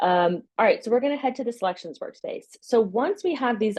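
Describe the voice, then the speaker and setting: A woman talks at a fairly quick pace. The background is quiet. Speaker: software company co-founder giving product demo; presenter. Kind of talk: software demo webinar. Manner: fast. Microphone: webcam.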